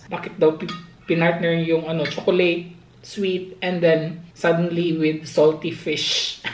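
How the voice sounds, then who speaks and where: The delivery is fairly slow, with monotone, flat intonation. Audible room echo and noticeable background noise sit behind it. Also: woman, fairly low pitch for a woman. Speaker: vlogger. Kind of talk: casual vlog chat. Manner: soft-spoken; halting, many fillers.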